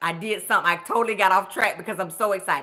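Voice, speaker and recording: Loud and animated, a woman talks with a Southern US accent in a fairly high voice with a bright, sharp tone. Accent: Southern, country. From US South (Augusta, Georgia). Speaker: budget coach, nurse. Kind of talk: live stream chat.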